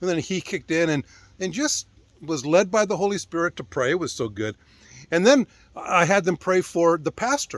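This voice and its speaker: Animated tone and lively intonation at a moderate pace, dry and close with no echo, on a very clean recording with a silent background. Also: man, high pitch for a man. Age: 60s. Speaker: ministry founder. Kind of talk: casual talk to camera.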